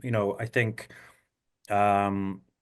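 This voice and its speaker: A man with a Scottish accent against a quiet background. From Scotland. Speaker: actor. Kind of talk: interview answer.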